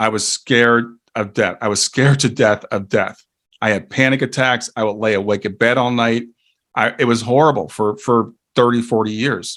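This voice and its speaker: At a moderate pace, a man uses a normal speaking voice with medium pitch and fairly even intonation in a very clean recording with a silent background. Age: 60s. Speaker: grief educator and life coach. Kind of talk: interview.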